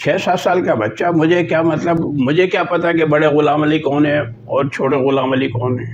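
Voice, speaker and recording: Over noticeable background noise and audible room echo, a man with a fairly high pitch speaks in a lively intonation. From Pakistan, Karachi. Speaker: vlogger and journalist. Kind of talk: storytelling vlog.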